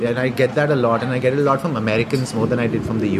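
Amid noticeable background noise, a man talks very fast at a medium pitch with ordinary pitch variation. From India. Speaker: artist and English literature graduate. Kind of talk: casual interview over lunch. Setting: restaurant.

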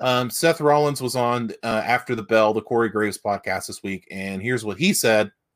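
With an Appalachian accent, a man talks at a moderate pace and medium pitch with ordinary pitch variation and hardly any pauses, in a dry, close sound with no echo. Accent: Appalachian US Southern. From West Virginia. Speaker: wrestling podcast co-host. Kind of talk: casual chat.

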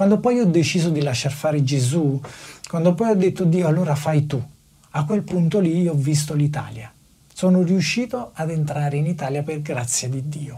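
Delivered at a moderate pace, this is an ordinary speaking voice. Its pitch variation is ordinary. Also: man, fairly high pitch for a man. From Naples, southern Italy. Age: 30s. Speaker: factory worker. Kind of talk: testimony.

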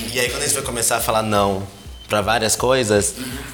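Over noticeable background noise, a man speaks at a very fast pace in a medium pitch with ordinary pitch variation. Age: 20s. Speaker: production and projects director. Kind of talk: casual podcast interview.

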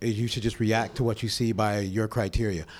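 A man with an American accent, a medium pitch, and a moderate pace. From Pasadena, California. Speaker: MMA referee. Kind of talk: live podcast interview. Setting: stage with live audience.

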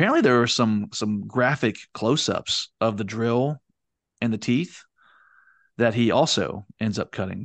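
Against a quiet background with a dry, close sound and no echo, a man with an unremarkable speaking voice talks at medium pitch and a fairly slow pace, using ordinary pitch variation. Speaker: podcast host. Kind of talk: casual podcast discussion. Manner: conversational, fillers.

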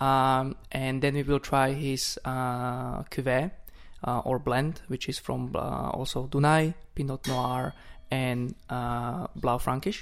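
In a Slovak accent, a man speaks at a very slow pace with a medium pitch and fairly even intonation. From Slovakia. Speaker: wine importer. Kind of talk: wine tasting chat. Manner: halting.

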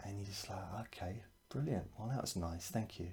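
A man speaks at a fairly low pitch in a somewhat breathy voice. His tone is soothing, gentle, dark and mellow. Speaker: hypnotherapist. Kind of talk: guided hypnosis session. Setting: video or podcast recording. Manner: slow, soothing, gentle and hypnotic; calm, reassuring, suggestive.

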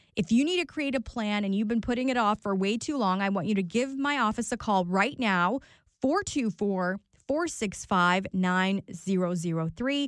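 In a very clean recording with a silent background, a woman with a plain, everyday voice speaks at a medium pitch and a moderate pace, with lively intonation and very even loudness. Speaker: radio host and attorney. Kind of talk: radio ad pitch for her law practice, promotional. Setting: talk radio studio. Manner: brisk, upbeat, salesy, conversational; reassuring and personable, pitching her personal touch.

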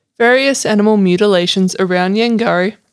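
Speaking at a moderate pace with ordinary pitch variation, a woman with an Australian accent comes through on a very clean recording with a silent background. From Sydney, Australia. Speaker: co-host and researcher. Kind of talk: casual chat.

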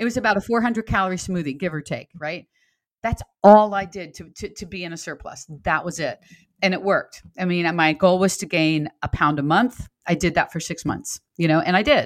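On a very clean recording with a silent background, a woman with a normal speaking voice talks at a fairly quick pace and fairly low pitch, with ordinary pitch variation and big swings in loudness. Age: 60s. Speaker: fitness coach and author. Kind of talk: casual chat.

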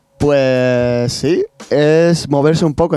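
A man's fairly high voice with fairly even intonation, dry and close with no echo, music in the background. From Spain, Castilla-La Mancha (Puertollano). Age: 20s. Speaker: professional skateboarder. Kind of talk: interview conversation. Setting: studio.

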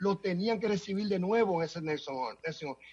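In a Dominican accent, a man speaks with a high pitch. His pitch variation is ordinary. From Dominican Republic. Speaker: city council member. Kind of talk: interview.

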